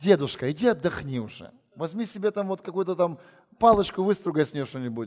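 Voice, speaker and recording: With an animated tone and lively intonation, a man speaks at a fairly quick pace in a high pitch. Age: 40s. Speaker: visiting preacher. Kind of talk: sermon. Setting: church.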